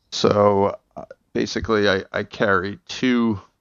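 In a New Jersey accent, a man talks with monotone, flat intonation at a fairly low pitch. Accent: New Jersey American. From New Jersey, Bergen County. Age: 30s. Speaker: actor. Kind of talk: casual chat. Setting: video call.

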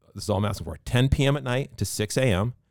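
A man with a Boston accent speaks at a fairly quick pace with lively intonation, in a very clean recording with a silent background. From Massachusetts (Pembroke). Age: 40s. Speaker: business owner. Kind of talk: casual chat.

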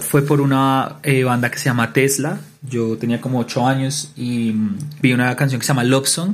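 A plain, everyday voice from a man, medium pitch, fairly even intonation and a moderate pace. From Colombia, Bogotá. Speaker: music teacher and guitarist. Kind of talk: interview.

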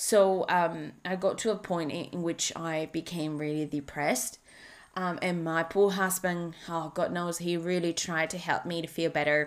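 With a Spanish accent, the speaker talks at a moderate pace with fairly even intonation in a very clean recording with a silent background. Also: woman. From Spain. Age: 30s. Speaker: life coach. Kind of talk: solo podcast monologue. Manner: halting.

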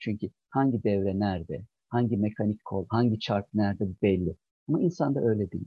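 A man talks at a moderate pace in an ordinary speaking voice, his pitch fairly low. His intonation is lively. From Çankırı, central Turkey. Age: 50s. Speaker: general surgery professor. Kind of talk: interview.

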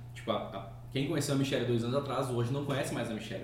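A man with a medium pitch is heard amid noticeable background noise and audible room echo. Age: 30s. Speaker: podcast host. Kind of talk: casual chat.

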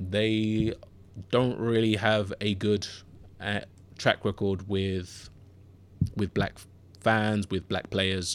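Flat, monotone delivery at a very slow pace, broken by long, frequent pauses. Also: man, fairly low pitch for a man. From Southeast London (Bermondsey). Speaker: sports podcast host. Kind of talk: solo podcast monologue. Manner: hesitant, many fillers and repeats.

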